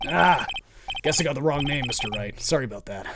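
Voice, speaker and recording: Putting on a gruff character voice, a man speaks loudly at a fairly quick pace, pitched fairly high with lively intonation. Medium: game stream. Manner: gruff, loud, says "pal".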